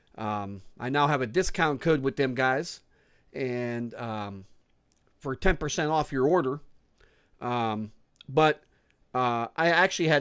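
In a quiet setting, a man speaks with lively intonation and long, frequent pauses. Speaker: food reviewer vlogger. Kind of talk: casual vlog chat. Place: home room. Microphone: studio mic.

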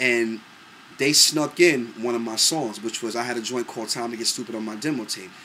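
A man's bright, sharp tone in a New York accent at a fairly quick pace, with light background noise. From New York, Brooklyn. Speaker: singer and producer. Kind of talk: casual monologue to camera. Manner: animated. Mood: relaxed, proud reminiscing. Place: home room. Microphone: webcam.

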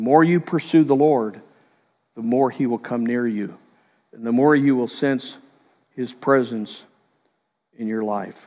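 A man with a dark, mellow tone speaks fairly slowly, with ordinary pitch variation. He leaves long, frequent pauses against a quiet background. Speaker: preacher. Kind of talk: sermon. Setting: church. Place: church. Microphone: headset.

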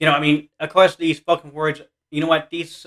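A man speaks fairly quickly, with quiet surroundings behind him. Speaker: reaction video youtuber. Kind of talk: reaction video, casual chat. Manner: excitable, gushing. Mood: enthusiastic, supportive. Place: home room. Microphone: webcam.

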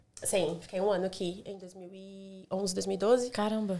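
A woman talks at a fairly slow pace. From Brazil. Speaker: hospitality manager; podcast guest. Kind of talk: casual chat. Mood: relaxed, chatty. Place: home room. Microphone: studio mic.

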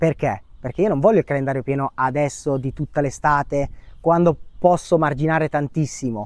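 Over a quiet background with a dry sound and no echo, a man uses a normal speaking voice at a moderate pace, fairly high in pitch with ordinary pitch variation. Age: 30s. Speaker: short-term rental manager; interview guest. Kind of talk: testimony. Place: garden. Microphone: lapel.

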